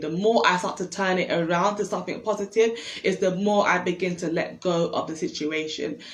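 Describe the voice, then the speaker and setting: There is noticeable background noise as a woman speaks at medium pitch with ordinary pitch variation. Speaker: self-help livestream host. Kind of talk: casual monologue on instagram live. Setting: instagram live stream. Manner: fast.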